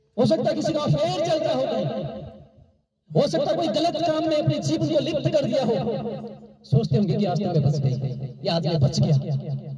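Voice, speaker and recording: A man with a Nepali accent speaks at a moderate pace and high pitch, with very wide pitch swings. Long, frequent pauses break up his speech, and audible room echo surrounds it. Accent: Nepali-accented Hindi. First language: Nepali (speaking Hindi). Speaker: pastor. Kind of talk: sermon.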